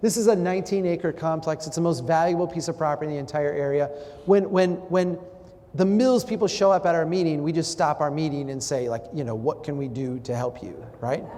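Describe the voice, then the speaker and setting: A man with an American accent, fairly high-pitched and animated, at a fairly quick pace with ordinary pitch variation over noticeable background noise. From Minnesota, Brainerd. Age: 40s. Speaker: urban planning speaker. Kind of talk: public talk with audience interaction.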